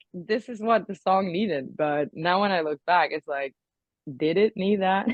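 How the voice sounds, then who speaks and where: At a fairly slow pace, a woman speaks at a fairly low pitch with ordinary pitch variation. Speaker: rock singer. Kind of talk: interview. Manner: halting, many fillers.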